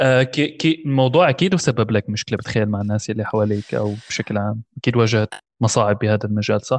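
A man talks in an unremarkable speaking voice at a medium pitch, with ordinary pitch variation. His pace is fairly quick with hardly any pauses, and the sound is dry and close, with no echo, over a quiet background. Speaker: podcast host. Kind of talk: casual interview.

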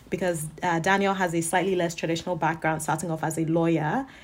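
The woman talks at a very fast pace. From Nigeria, Lagos. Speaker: podcast host, MBA student. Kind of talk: casual interview.

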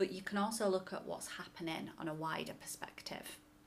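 A woman with an ordinary speaking voice talks at a moderate pace in a fairly low pitch with fairly even intonation. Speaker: podcast co-host, business trainer. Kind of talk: casual chat, informative podcast conversation.

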